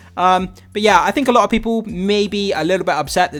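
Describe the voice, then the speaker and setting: A man with an English accent, music in the background. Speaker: video commentator. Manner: casual, hesitant with fillers.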